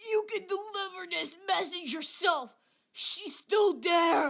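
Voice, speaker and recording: Pitched extremely high, a cartoonish character voice moves along fairly slowly. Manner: formal, cold.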